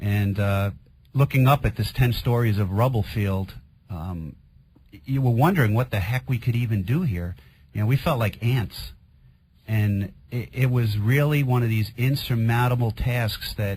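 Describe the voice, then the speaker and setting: A somewhat breathy voice in a Queens accent, at a moderate pace, with ordinary pitch variation. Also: man, medium pitch for a man. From New York, Queens. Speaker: firefighter. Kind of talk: radio interview testimony.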